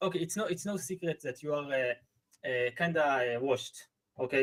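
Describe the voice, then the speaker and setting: A man speaks with a non-native accent at a fairly high pitch. His pace is moderate. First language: not English. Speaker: viewer guest. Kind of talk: casual chat. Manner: halting.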